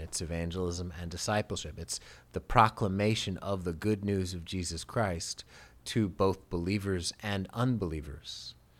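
A man has a plain, everyday voice with a fairly low pitch. He speaks at a moderate pace on a very clean recording with a silent background. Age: 50s. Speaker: pastor. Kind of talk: casual chat. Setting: studio.

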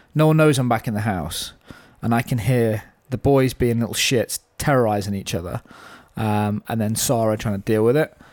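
The recording has a dry, close sound with no echo as a man with a normal speaking voice talks at a moderate pace, medium pitch and ordinary pitch variation. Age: 30s. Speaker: podcast host. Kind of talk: casual chat.

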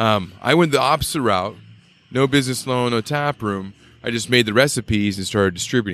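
A plain, everyday voice from a man with an American accent, medium in pitch with ordinary variation, at a fairly quick pace. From Boise, Idaho. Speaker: craft brewer, Navy veteran. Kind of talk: casual interview chat. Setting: at a bistro.

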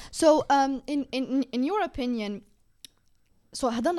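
A woman with an Algerian accent speaks with lively intonation. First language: Algerian Arabic. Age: 20s. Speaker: podcast host. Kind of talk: casual chat.

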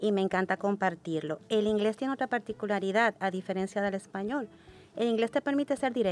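A woman with a normal speaking voice talks at a moderate pace with ordinary pitch variation. The recording is very clean, with a silent background and a dry, close sound with no echo. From Dominican Republic. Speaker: English education coordinator. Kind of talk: podcast panel discussion.

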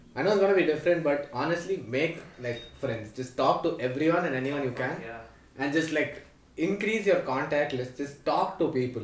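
Fairly high-pitched man, fairly quick pace, ordinary pitch variation, noticeable background noise. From Delhi, India; South Indian family. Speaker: podcast host, college student. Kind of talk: casual chat.

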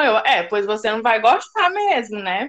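Here a woman speaks with a bright, sharp tone. Her pace is moderate. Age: 20s. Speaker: blog administrator. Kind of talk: casual chat.

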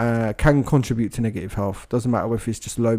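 A man's dark, mellow voice at medium pitch, with a British accent and fairly even intonation, on a very clean recording with a silent background. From Britain. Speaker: podcast co-host. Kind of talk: casual chat.

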